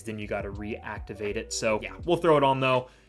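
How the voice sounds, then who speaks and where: Music plays in the background as a man speaks at a medium pitch. His tone is energetic and his intonation lively. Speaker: gaming youtuber. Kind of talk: gameplay commentary. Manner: fast; casual, energetic.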